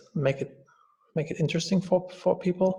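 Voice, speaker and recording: Somewhat breathy, the voice holds fairly even intonation at a moderate pace. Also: man. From Germany. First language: German. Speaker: entrepreneur and coach. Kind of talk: podcast interview.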